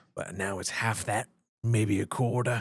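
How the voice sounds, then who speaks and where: A raspy put-on character voice from a man, monotone and flat, with a dry, close sound and no echo. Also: medium pitch for a man, moderate pace. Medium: actual play. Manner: folksy, drawling.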